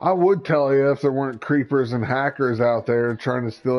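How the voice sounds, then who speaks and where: A man with a Midwestern accent at a moderate pace, his intonation fairly even. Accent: Midwestern, noticeable. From US Midwest. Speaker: gaming livestreamer. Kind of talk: casual chat.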